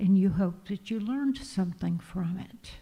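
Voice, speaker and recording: A woman's somewhat breathy voice of medium pitch, dark and mellow in tone. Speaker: minister giving a sermon. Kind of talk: church sermon / spiritual talk. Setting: church congregation.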